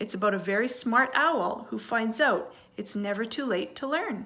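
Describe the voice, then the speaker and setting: Putting on a character voice, a woman projects in a raised, fairly high voice at a moderate pace. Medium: read story.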